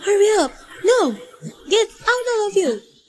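Shouting at a fairly slow pace, a woman uses a put-on character voice with an extremely high pitch. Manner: frantic, screaming.

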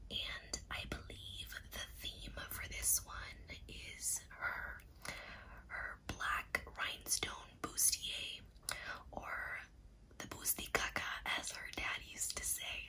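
Whispering and soft-spoken, the speaker goes at a very slow pace with long, frequent pauses over light background noise. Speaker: ASMR creator. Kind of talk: soft-spoken ASMR unboxing chat. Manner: soft ASMR whisper, close to mic.

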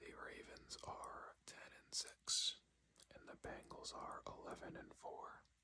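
A very slow whisper from a man. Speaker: ASMR creator / sports commentator. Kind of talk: ASMR sports predictions talk to camera. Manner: whispered, soft-spoken.

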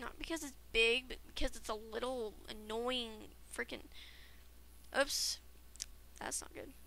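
Speech at a fairly slow pace breaks off for long, frequent pauses over noticeable background noise. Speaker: gaming video creator. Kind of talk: let's play commentary. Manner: rambling, many filler words; animated.

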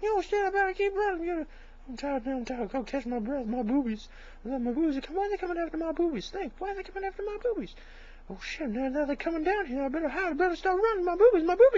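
Very fast and extremely high-pitched, a woman rattles off her words. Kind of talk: comic overacting parody dub. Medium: fan dub. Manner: frantic, panicky.

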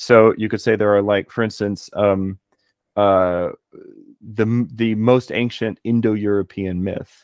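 A man with a Texan accent speaks slowly-ish, fairly slow in pace and fairly low in pitch, with monotone, flat intonation. The sound is dry with no echo and the background is quiet. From Texas. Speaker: philologist and martial artist; podcast guest. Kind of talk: casual chat. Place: home room. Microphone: studio mic.

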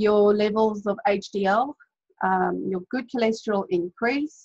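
Against a quiet background, a woman speaks in a somewhat breathy, fairly high voice with ordinary pitch variation. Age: 30s. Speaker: health and diet coach; diet coach. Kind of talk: webinar presentation. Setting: video call. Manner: casual, many filler words. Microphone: webcam.

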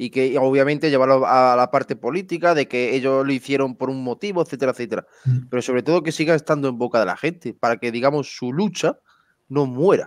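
Captured in a very clean recording with a silent background, a man with an unremarkable speaking voice talks at a medium pitch and a fairly quick pace, the sound dry and close with no echo. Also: ordinary pitch variation. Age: 30s. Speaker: podcast host. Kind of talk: interview.

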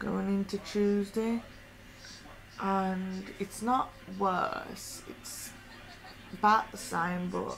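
A woman speaks very slowly in a hoarse voice with a tired tone and fairly even intonation. Light background noise sits behind her. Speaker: vlogger. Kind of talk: casual vlog chat. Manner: hoarse, tired sore-throat voice. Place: home room. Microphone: webcam.

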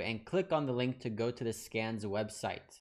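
Ordinary pitch variation from a man, with a quiet background. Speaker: trading educator. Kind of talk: tutorial. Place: home room. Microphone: studio mic.

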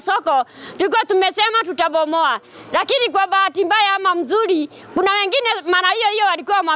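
A woman's raised, projected voice at a fairly quick pace, dry sound with no echo. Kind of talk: interview answer / protest statement. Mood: aggrieved, earnest. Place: market. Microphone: handheld.

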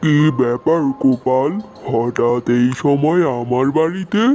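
A man's cartoonish character voice, fairly high-pitched and fairly slow, over clear background noise. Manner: gruff, curt.

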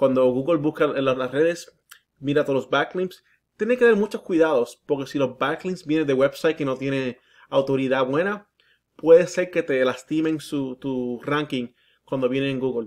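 Here a man speaks in a fairly high voice with ordinary pitch variation. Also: moderate pace, quiet background. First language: English (speaking Spanish). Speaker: digital marketing consultant. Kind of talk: sales pitch. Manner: halting.

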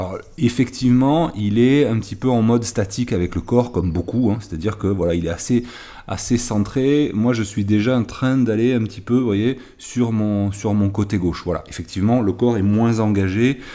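At a moderate pace, a man speaks with ordinary pitch variation. His pitch is medium and his tone dark and mellow. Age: 50s. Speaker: golf coach. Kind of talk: tutorial. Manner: halting.

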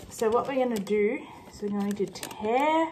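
A woman speaks with ordinary pitch variation while light background noise sits behind her. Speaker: vlogger. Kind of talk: casual vlog chat. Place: kitchen. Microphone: phone near.

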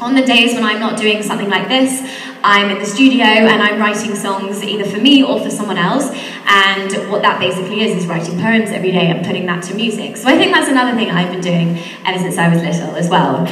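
A woman speaks at a very fast pace with ordinary pitch variation. There is audible room echo. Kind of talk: talk to school assembly. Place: hall. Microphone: handheld.

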